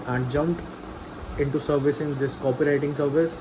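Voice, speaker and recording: A man's fairly high-pitched voice with a non-native accent and monotone, flat intonation, amid noticeable background noise. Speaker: vlogger, freelance copywriter. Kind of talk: personal video diary. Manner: halting, repetitive.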